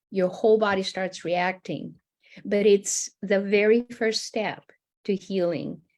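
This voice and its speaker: With an ordinary speaking voice, a woman talks at a fairly slow pace, her pitch medium and ordinarily varied. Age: 60s. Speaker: art-based healing coach. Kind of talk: panel discussion.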